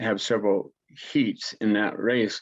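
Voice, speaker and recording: A man speaks in a fairly low pitch. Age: 70s. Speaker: war veteran and senior athlete. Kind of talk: interview. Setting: video call. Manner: halting, many fillers and restarts.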